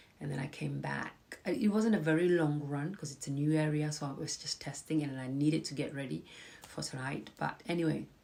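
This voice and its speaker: With noticeable background noise behind her, a woman with a very deep, low pitch talks at a fairly quick pace, her pitch varying in an ordinary way. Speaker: personal finance and mindset speaker. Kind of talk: casual live talk to viewers. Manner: conversational, hesitant with fillers.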